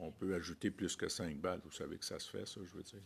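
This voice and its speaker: A man in a Quebec French accent, very deep and low in pitch, very fast in pace, fairly even in intonation, on a very clean recording with a silent background. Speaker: senator. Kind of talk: committee questioning.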